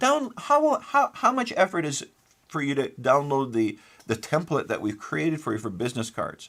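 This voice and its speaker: At a fairly quick pace, a man with a Canadian accent speaks on a very clean recording with a silent background. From Manitoba, Canada. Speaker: forensic engineer and report author. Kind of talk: interview. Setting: studio. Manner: repetitive, halting restarts.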